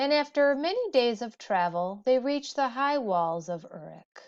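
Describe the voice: Slightly mellow delivery at a fairly slow pace, with big pitch swings. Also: woman, fairly high pitch for a woman.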